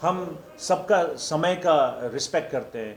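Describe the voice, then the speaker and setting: A man is heard over noticeable background noise, with audible room echo. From India, Darjeeling hills. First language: not Hindi; Hindi is his sixth language (speaking Hindi). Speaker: film director. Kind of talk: press conference. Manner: halting, many fillers and restarts.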